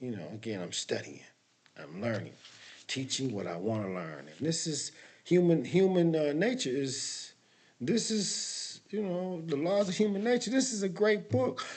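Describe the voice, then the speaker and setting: Audible room echo colors a man's speech at a moderate pace. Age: 60s. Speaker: motivational talk host. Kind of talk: casual motivational monologue. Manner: halting, many fillers and restarts.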